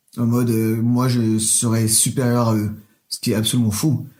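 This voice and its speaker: Speaking slowly and in a flat monotone, a man keeps to a medium pitch. Room echo can be heard around him. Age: 20s. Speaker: drag queen. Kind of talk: interview. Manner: hesitant.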